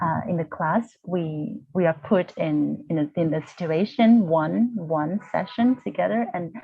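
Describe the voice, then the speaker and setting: Speaking at a very slow pace, a woman with a fairly low pitch and a somewhat breathy voice uses lively intonation. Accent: Vietnamese. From Vietnam. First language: Vietnamese. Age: 40s. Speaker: university lecturer, healing practitioner. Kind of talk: interview. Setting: video call. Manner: halting.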